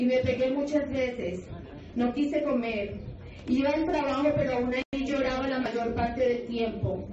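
Fairly slow, high-pitched speech from a woman, with fairly even intonation, audible room echo and light background noise. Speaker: testimony narrator in projected video. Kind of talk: personal testimony. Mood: sorrowful, confessional. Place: hall. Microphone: pa.

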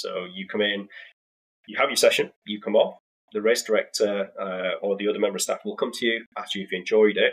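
A man is speaking. He has a British accent. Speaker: sim racing venue founder. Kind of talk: casual interview.

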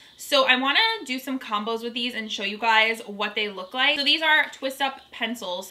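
The pitch varies in an ordinary way. The speech carries an American accent. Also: woman, high pitch for a woman, moderate pace. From Long Island, New York. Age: 30s. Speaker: makeup and Dollar Tree shopping YouTuber. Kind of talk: casual talk to camera, makeup review. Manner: upbeat, enthusiastic. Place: home room.

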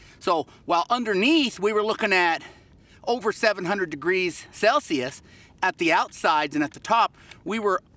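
A man speaks at a moderate pace in a raised, projected voice with a bright, sharp tone and a dry sound with no echo. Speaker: pottery instructor. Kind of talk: tutorial. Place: open country.

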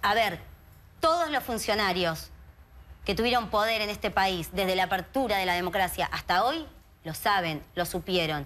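Lively intonation from a woman speaking at a moderate pace. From Argentina, Greater Buenos Aires. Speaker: activist, sister of a missing youth. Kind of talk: TV interview. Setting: TV studio. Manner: animated. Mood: earnest, indignant, emotional. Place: studio. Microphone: lapel.

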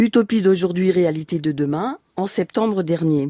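A woman speaks at medium pitch with a dark, mellow tone and lively intonation. Her moderate pace comes through dry and close, with no echo. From Alsace, France. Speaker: freemasonry leader, former English teacher. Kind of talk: interview. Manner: formal.

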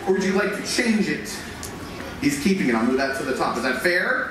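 A man talks fairly fast while audible room echo and noticeable background noise fill the recording. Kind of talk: stage performance patter. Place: stage. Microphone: pa.

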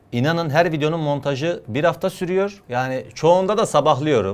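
A man speaks at a fairly quick pace in a fairly high pitch. The recording is very clean, with a silent background. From Adana, southern Turkey. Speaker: YouTuber and sketch comedian. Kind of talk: interview answering reader questions. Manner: fast.

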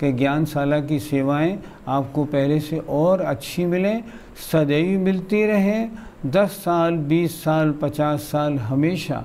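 A man's fairly high pitch at a very slow pace, with very even loudness and ordinary pitch variation. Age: 70s. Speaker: religious scholar; religious teacher, program host. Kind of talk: address to viewers. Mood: warm, calm, reassuring. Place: studio. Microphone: lapel.

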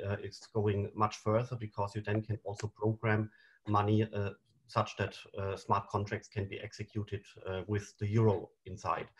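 A man's fairly low, somewhat breathy voice. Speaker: panel moderator. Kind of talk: moderator introduction and slide explanation. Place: home room. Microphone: webcam.

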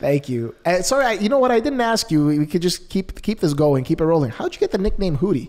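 Over a quiet background, a man talks at a very fast pace. His pitch swings very widely. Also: hardly any pauses. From Canada. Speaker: podcast host. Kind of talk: interview. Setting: video call. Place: studio. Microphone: studio mic.

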